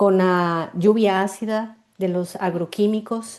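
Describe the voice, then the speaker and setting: At a fairly slow pace, a woman speaks with a Costa Rican accent. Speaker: marketing mentor and artisan cosmetics maker. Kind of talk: interview. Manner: halting, with repetitions and fillers.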